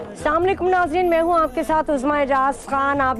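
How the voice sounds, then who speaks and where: A woman's voice amid noticeable background noise. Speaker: TV host. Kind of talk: religious TV monologue. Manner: animated.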